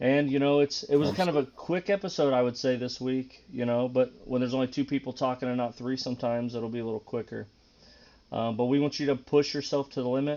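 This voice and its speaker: A very fast pace with fairly even intonation. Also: man, medium pitch for a man. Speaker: podcast co-host. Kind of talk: casual podcast chat. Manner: monotone.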